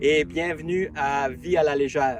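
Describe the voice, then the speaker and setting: This man speaks with an Acadian accent at a fairly high pitch, his intonation fairly even over noticeable background noise. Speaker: travel vlogger. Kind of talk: casual vlog narration. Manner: hesitant, many fillers.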